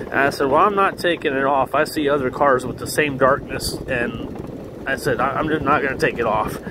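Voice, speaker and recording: With hardly any pauses, a man with a fairly high pitch talks over noticeable background noise. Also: ordinary pitch variation, moderate pace. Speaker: vlogger. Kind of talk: casual vlog monologue. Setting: outdoors, riding a scooter. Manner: loud.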